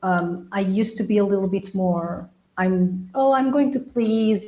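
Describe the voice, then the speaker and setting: Somewhat breathy, a woman speaks in a medium pitch. Her pace is very slow. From Angola and Portugal. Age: 40s. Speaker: interview guest. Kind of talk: casual chat.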